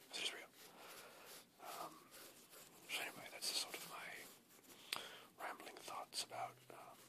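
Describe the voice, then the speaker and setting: Someone whispers at a very slow pace with long, frequent pauses. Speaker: ASMR creator. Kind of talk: ASMR whispered rambling to camera. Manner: whispered.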